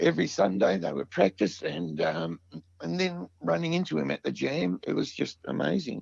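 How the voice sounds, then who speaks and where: A man speaks in an Australian accent at a moderate pace. The sound is dry and close, with no echo. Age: 60s. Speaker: musician, vocalist and guitarist. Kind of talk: casual interview chat. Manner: hesitant, many fillers.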